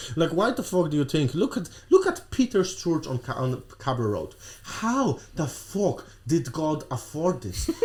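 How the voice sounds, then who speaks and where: In a Polish accent, a man with a fairly high voice talks at a fairly slow pace, his pitch swinging very widely. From Poland. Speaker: podcast guest. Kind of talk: casual chat. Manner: animated.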